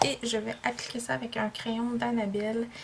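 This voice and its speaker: Noticeable background noise surrounds a woman speaking at a fairly high pitch with a Quebec accent. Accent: Québécois French. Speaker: beauty vlogger. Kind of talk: makeup tutorial vlog. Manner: casual, hesitant with many fillers.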